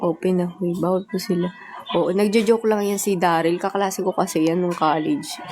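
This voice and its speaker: A woman talks fairly quickly with fairly even intonation, and noticeable background noise runs beneath her. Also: medium pitch for a woman. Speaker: idol group member livestreamer. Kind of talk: casual livestream chat.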